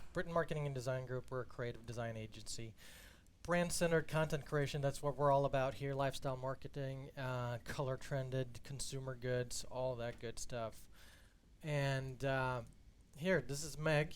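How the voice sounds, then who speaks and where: A man with a medium pitch talks at a moderate pace, keeping his intonation fairly even. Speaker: content strategist hosting a marketing webinar. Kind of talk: live-streamed presentation. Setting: company studio, live stream. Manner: low-key, not very passionate.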